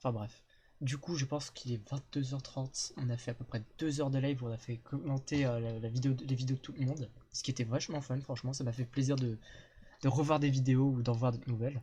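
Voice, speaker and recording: Somewhat breathy and dark, mellow in tone, the voice holds a monotone, flat intonation. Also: man, medium pitch for a man. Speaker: streamer. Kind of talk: casual chat. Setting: live stream with guests. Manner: fast.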